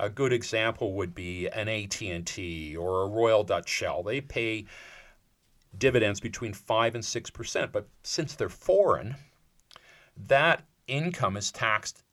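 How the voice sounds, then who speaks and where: In a Canadian accent, an ordinary speaking voice moves at a fairly slow pace with lively intonation. The recording is very clean, with a silent background. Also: man. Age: 60s. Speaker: financial advisor. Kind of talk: casual chat.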